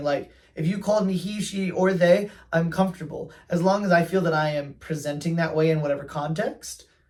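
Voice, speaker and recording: Speaking at a fairly quick pace, a man with a high-pitched voice shows ordinary pitch variation. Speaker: fashion vlogger. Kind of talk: casual monologue. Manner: animated.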